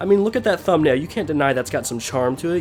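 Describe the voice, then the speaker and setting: Background noise is clearly present. A man talks through it. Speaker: gaming YouTuber. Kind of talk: scripted commentary.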